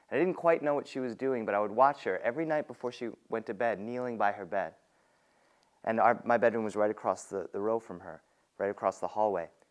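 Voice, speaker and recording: With an unremarkable speaking voice, a man talks at a medium pitch. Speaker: storyteller. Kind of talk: personal storytelling performance.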